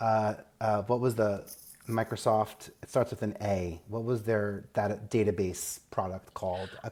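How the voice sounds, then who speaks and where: With a New York accent, a man talks at a fairly slow pace and fairly low pitch in a monotone, flat intonation. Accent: Staten Island. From New York, Staten Island. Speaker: media advisor, former TV executive. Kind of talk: podcast interview.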